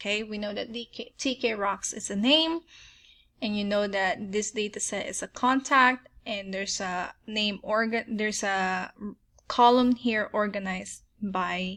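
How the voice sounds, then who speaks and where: A fairly high-pitched woman in a Filipino accent, bright and sharp in tone, with ordinary pitch variation, a fairly slow pace and a very clean recording with a silent background. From Philippines. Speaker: software tutorial creator. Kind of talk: tutorial. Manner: casual, filler-heavy with frequent um.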